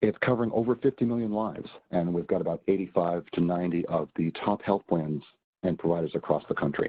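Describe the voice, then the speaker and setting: Moving at a fairly quick pace, a man with an American accent speaks in a very deep, low pitch. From Boston, US Northeast. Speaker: healthcare software presenter. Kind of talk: webinar presentation. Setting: online webinar.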